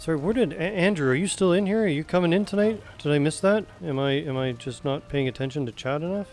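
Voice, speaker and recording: Over noticeable background noise, the speaker rushes along very fast with hardly any pauses and a lively intonation. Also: man, fairly high pitch for a man. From West Coast Canada. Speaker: game streamer. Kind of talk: casual chat.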